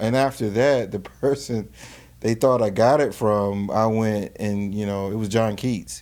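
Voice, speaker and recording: A man with a Carolina accent speaks with fairly even intonation. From North Carolina, Greensboro. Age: 40s. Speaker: filmmaker. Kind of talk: casual chat.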